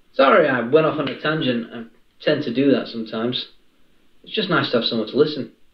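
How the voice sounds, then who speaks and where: A man speaks at a fairly quick pace with audible room echo against a quiet background. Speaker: caller. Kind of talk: casual roleplay phone chat. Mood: warm, friendly, flirty. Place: home room.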